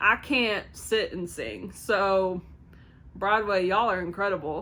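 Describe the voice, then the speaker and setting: Here a woman speaks in a Kentucky accent with a bright, sharp tone. She goes at a fairly slow pace. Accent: Kentucky twang. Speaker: movie reviewer. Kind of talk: casual review to camera. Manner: enthusiastic, upbeat.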